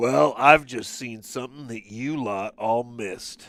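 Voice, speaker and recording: Using a put-on character voice, a raspy man with a medium pitch and ordinary pitch variation talks at a fairly slow pace, his loudness swinging widely. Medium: game stream. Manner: blunt, gruff.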